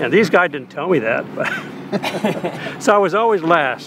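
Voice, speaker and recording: Background noise is noticeable here. This man talks at a moderate pace. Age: 80s+. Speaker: amateur sailboat racer. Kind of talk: casual reminiscing.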